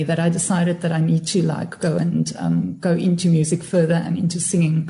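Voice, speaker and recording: Background noise is noticeable in this clip. Over it, a woman speaks at a fairly quick pace. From Cape Town, South Africa. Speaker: singer and stage actress. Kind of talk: casual chat.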